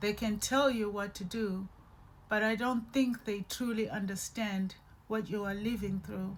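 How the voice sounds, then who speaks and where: A woman speaks at a very slow pace and medium pitch. Her voice is somewhat breathy, with monotone, flat intonation. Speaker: podcast host, abuse survivor. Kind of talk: personal testimony. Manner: slow, halting.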